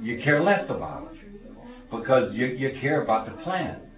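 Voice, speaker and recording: With music in the background and audible room echo, a man in an American accent speaks with very wide pitch swings. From Bethlehem, Pennsylvania, US. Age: 70s. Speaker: retired steel mill rigger. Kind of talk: interview. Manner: halting.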